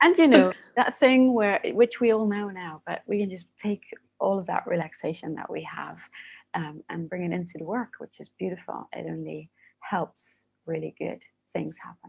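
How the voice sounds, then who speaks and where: Speaking in a Dutch accent at a moderate pace, a woman has a soothing tone, her loudness swinging widely. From Netherlands. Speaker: coaching academy founder. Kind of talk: podcast interview.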